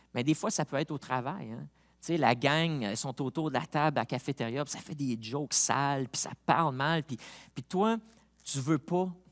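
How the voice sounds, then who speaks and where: A man with a Montreal accent speaks at a moderate pace in a very clean recording with a silent background and a dry, close sound with no echo. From Quebec, Montreal. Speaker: pastor. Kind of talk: sermon. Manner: casual, halting with repetitions.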